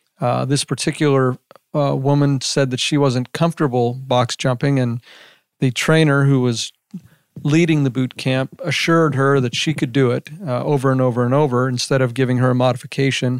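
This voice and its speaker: A man with an American accent talks at a moderate pace in a monotone, flat intonation. His loudness stays very even, and the sound is dry and close with no echo. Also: medium pitch for a man. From Las Vegas, Nevada. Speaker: lawyer. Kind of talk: interview. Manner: halting.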